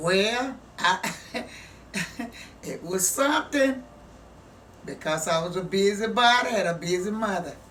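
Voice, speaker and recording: A woman with a Southern US accent at medium pitch, ordinary pitch variation and a fairly slow pace, with noticeable background noise and audible room echo. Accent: Southern US (Georgia). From US South, southwest Georgia. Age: 80s+. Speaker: grandmother sharing life story. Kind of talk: interview.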